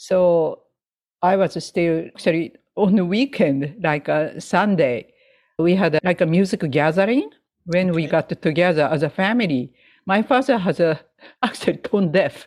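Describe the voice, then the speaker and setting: On a very clean recording with a silent background, a woman with a Japanese accent and fairly low pitch speaks at a moderate pace with lively intonation. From Japan, Hokkaido, Sapporo. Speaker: jazz pianist and educator. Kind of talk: interview. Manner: halting.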